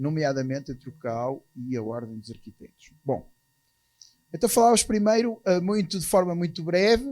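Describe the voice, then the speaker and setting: With a European Portuguese accent, a man with a high pitch and a dark, mellow tone talks at a moderate pace, showing very wide pitch swings and big swings in loudness. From Portugal. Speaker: architects' association president. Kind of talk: conference talk. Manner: hesitant, with fillers.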